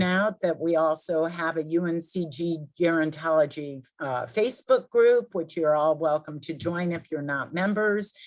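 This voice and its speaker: A woman talks in an ordinary speaking voice, fairly low in pitch. Her pace is moderate, with ordinary pitch variation. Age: 60s. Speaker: event host. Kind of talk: announcements and Q&A.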